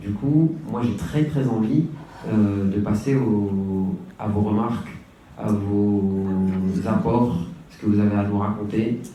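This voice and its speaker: A man with a fairly low pitch and ordinary pitch variation at a very slow pace, long frequent pauses, big swings in loudness, audible room echo and music in the background. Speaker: hip-hop artist and community worker. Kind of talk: conference talk.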